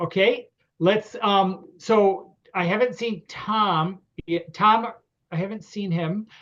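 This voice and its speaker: A man with a Connecticut accent, high in pitch, very slow in pace and fairly even in intonation. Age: 60s. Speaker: grange lecturer and event host. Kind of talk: online meeting hosting. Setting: video call. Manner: hesitant, many fillers.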